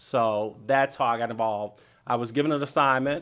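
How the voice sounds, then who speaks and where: An American accent marks a man's unremarkable speaking voice at medium pitch. He talks at a moderate pace against a quiet background. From US South, Miami, Florida. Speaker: business organization president, banker. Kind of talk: radio interview. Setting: radio studio.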